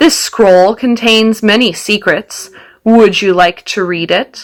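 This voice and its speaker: In a put-on character voice, the words come out at a fairly slow pace. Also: woman, medium pitch for a woman. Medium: read story. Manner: menacing, mocking.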